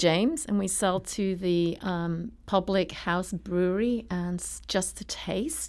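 In a very clean recording with a silent background, a woman with an English accent speaks at a medium pitch with ordinary pitch variation. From England. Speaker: mushroom farmer. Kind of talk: radio interview. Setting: studio.

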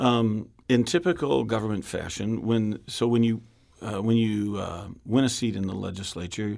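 A man's fairly low voice with an American accent, a normal speaking voice, ordinary pitch variation and a moderate pace, on a very clean recording with a silent background. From US Midwest, St. Louis County, Missouri. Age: 50s. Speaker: state legislator. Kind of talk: interview. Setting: studio.

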